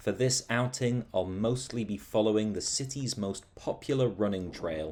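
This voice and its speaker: Speaking at a fairly slow pace, a man with a fairly low pitch uses lively intonation. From Britain. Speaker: travel vlogger. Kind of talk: video narration. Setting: outdoors.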